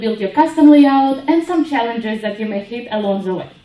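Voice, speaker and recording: A woman with ordinary pitch variation, amid noticeable background noise and audible room echo. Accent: Ukrainian. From Ukraine. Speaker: web developer, conference speaker. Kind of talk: conference talk.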